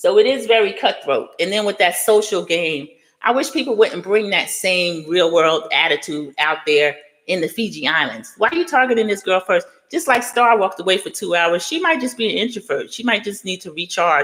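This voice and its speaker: Very wide pitch swings and an animated tone mark this voice, which runs at a fairly quick pace. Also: woman, medium pitch for a woman. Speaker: youtuber discussing reality TV. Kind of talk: live stream commentary. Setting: live stream reading chat. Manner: fast.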